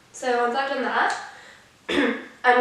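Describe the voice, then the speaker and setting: A high-pitched woman speaks with audible room echo and noticeable background noise. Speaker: makeup vlogger. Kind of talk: tutorial. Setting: filming on the floor at home. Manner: casual, filler-heavy.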